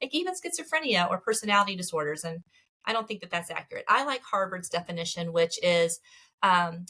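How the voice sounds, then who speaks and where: A fairly quick delivery with a Southern US accent, a bright, sharp tone and very wide pitch swings. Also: woman. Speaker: marriage therapist. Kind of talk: interview. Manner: fast.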